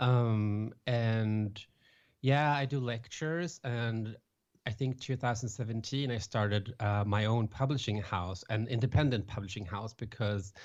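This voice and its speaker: Speaking with a Swedish accent, a man talks at a fairly slow pace and medium pitch with ordinary pitch variation. The background is quiet. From Sweden, west coast near Gothenburg. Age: 30s. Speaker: author and public speaker. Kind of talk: podcast interview. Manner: halting.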